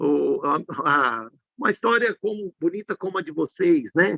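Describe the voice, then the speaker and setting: The voice has a bright, sharp tone and lively intonation, captured with a dry, close sound and no echo. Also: man. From Brazil, Minas Gerais. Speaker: tax law professor. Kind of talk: live stream conversation.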